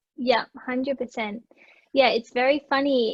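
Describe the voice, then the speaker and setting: A woman's high-pitched voice with fairly even intonation, at a fairly slow pace. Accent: Australian. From Australia. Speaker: digital marketer. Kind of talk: casual chat.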